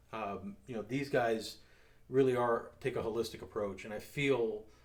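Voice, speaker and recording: Audible room echo hangs around this man's voice as he talks. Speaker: security company owner and show host. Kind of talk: casual chat over drinks.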